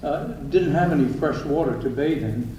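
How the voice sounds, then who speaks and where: Over noticeable background noise and audible room echo, a man with an American accent talks at a moderate pace with ordinary pitch variation. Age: 80s+. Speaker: eulogist, brother of the deceased. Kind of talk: eulogy. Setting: church memorial service. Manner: casual, conversational. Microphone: poor pocket voice recorder.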